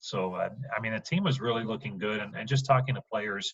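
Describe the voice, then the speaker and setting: A man is speaking. He has a normal speaking voice. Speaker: baseball radio play-by-play broadcaster. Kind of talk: podcast interview answer.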